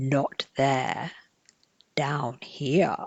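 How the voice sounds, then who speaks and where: This is a put-on character voice with a creaky quality. It sits at a low-to-middle pitch. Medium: read story. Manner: quiet, mysterious.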